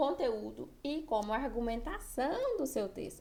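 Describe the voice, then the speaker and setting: A woman's voice with audible room echo. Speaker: writing teacher for exam prep. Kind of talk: online lecture.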